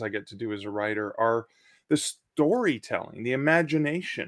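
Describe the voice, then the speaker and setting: With lively intonation, a man talks at a moderate pace in an ordinary speaking voice of medium pitch, on a very clean recording with a silent background. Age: 50s. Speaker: author. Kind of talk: interview.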